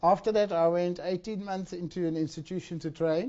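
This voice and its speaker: A man with a high pitch for a man, ordinary pitch variation, and a moderate pace. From Africa. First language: not Dutch; not English. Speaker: encephalitis survivor and conference speaker. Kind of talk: conference talk, personal testimony. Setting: conference stage with audience. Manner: halting, with repetitions and self-corrections.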